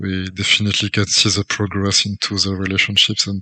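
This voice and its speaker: A man with a French accent talks at a fairly quick pace, his pitch fairly low and his tone bright and sharp. The sound is dry and close with no echo, over a quiet background. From France. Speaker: interviewer. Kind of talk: interview.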